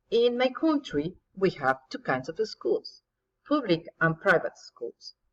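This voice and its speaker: A woman with a Spanish accent, at a very slow pace. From Mexico. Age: 50s. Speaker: English teacher. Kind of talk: recorded presentation.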